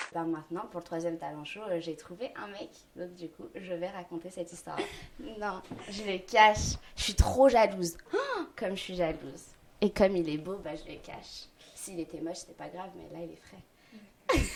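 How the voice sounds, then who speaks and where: Fairly low-pitched woman at a moderate pace, ordinary pitch variation and big swings in loudness. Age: 20s. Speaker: comedian. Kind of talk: interview. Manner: halting.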